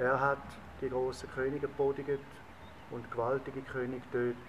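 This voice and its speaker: Fairly slow, monotone, flat delivery in a Swiss German accent, over noticeable background noise. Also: man. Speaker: reader. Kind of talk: psalm reading in dialect. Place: garden.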